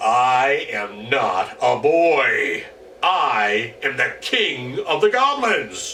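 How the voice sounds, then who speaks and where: A man bellowing in a put-on character voice at a very slow pace, with clear background noise. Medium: read story. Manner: menacing.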